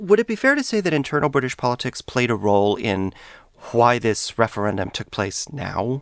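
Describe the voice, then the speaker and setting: At a fairly quick pace, a man with an unremarkable speaking voice talks at a medium pitch with lively intonation. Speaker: podcast host and historian. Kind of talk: interview, host-led conversation. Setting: studio.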